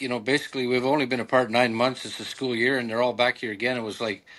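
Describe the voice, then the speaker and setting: Against a quiet background, a man talks at a medium pitch in a monotone with flat intonation. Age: 60s. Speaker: baseball team manager. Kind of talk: interview. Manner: halting, many fillers.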